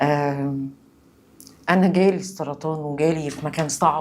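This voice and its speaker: In a calm tone, a woman with an Egyptian accent speaks with fairly even intonation on a very clean recording with a silent background. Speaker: cancer survivor. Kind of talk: testimony.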